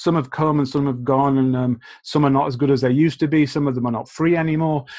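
A man's medium-pitched voice against a quiet background. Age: 40s. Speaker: teacher trainer. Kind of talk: conference presentation. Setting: video call. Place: home room. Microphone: webcam.

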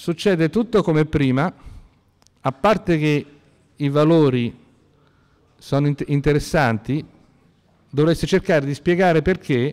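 The man's voice sits fairly high, and he talks at a very slow pace. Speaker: university lecturer. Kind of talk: lecture. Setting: classroom lecture, seated with two microphones.

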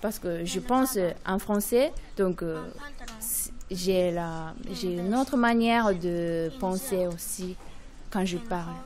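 At a very slow pace with long, frequent pauses, a woman with a Japanese accent speaks at a medium pitch with ordinary pitch variation. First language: Japanese (speaking French). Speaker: primary school French teacher. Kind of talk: interview. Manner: halting, many hesitations.

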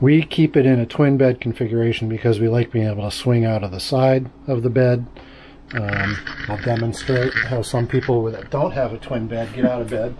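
A man at a moderate pace, fairly even intonation, noticeable background noise. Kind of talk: casual walkthrough tour. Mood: relaxed, cheerful. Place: home room. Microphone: phone near.

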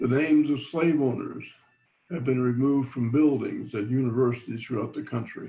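Audible room echo surrounds a man's voice. He talks at a fairly quick pace with fairly even intonation. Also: medium pitch for a man. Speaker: engineering professor. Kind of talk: lecture. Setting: video call, audio only.

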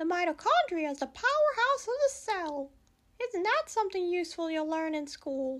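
A man uses a cartoonish character voice. His pitch is extremely high. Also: moderate pace. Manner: upbeat.

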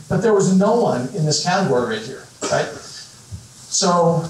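An American accent at a fairly slow pace, with audible room echo and light background noise. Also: man. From northwestern Illinois. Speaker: business founder, keynote speaker; keynote speaker. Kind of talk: keynote talk. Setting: stage with audience. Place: hall.

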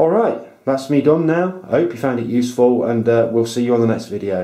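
The man talks at a fairly quick pace, with ordinary variation in pitch. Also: medium pitch for a man. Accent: British. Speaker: amateur astronomer, video tutorial maker. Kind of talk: tutorial. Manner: enthusiastic.

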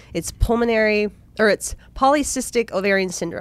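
A woman's lively intonation with a dry sound and no echo. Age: 30s. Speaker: podcast co-host. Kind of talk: casual chat. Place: studio. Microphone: studio mic.

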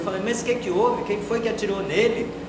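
This man's speech carries audible room echo over loud background noise. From Brazil. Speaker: stand-up comedian. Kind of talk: stand-up comedy. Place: home room.

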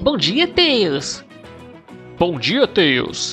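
A put-on character voice at a middle pitch is heard over clear music in the background. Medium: dub. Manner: teasing, impatient.

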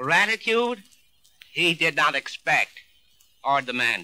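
With an American accent, a man talks at a fairly slow pace in a bright, sharp tone, his pitch swinging very widely. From American, New York. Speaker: mayor delivering a radio eulogy. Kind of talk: formal radio eulogy, read tribute. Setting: 1943 radio broadcast recording.

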